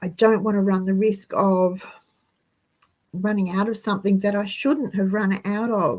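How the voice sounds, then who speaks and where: Speaking with an Australian accent, a woman has a medium, somewhat breathy voice with fairly even intonation and a fairly slow pace. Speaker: frugal living channel host. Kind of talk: live stream monologue.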